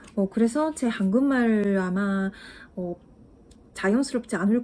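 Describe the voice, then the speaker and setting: A woman's somewhat breathy voice, fairly high in pitch, has a dark, mellow tone and ordinary pitch variation. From Japan. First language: Japanese (speaking Korean). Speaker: language-learning YouTuber. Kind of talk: casual vlog talk to viewers. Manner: halting, many fillers.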